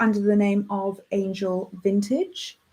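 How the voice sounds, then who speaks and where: With a South African accent, a woman speaks in a fairly high, somewhat breathy voice. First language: Afrikaans. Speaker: radio host. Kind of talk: radio show. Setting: radio studio. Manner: casual, chatty.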